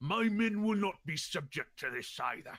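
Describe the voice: A man's bellowing, put-on character voice at a high pitch. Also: moderate pace.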